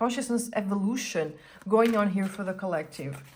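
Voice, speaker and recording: A woman's lively intonation comes through a somewhat breathy voice. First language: Portuguese. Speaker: tarot reader / astrologer. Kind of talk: tarot reading. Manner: casual, conversational with fillers.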